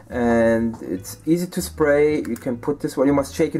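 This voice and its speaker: Lively intonation from a man with a German accent, moderate in pace, with music in the background. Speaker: miniature painting YouTuber. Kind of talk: hobby tutorial and review. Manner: halting, many fillers.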